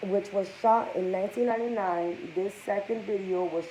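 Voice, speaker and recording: With ordinary pitch variation, a woman speaks at medium pitch and a moderate pace. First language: Spanish. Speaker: gossip vlogger. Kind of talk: casual commentary reading news aloud.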